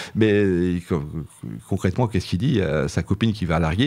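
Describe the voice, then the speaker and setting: Fairly low in pitch, a man speaks at a moderate pace with lively intonation. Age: 60s. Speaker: philosophy teacher, author. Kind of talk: radio interview. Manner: halting, many hesitations.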